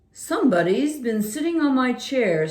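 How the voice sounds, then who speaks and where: Putting on a character voice, a woman speaks high with very wide pitch swings. Her pace is moderate. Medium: read story.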